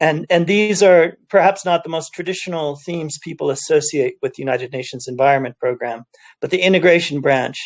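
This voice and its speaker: At a fairly quick pace, a man with a slight Californian accent talks in a fairly high pitch. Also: ordinary pitch variation. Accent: slight California. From US, California (Cupertino). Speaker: UN environment official. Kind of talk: panel talk. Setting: video call from home office.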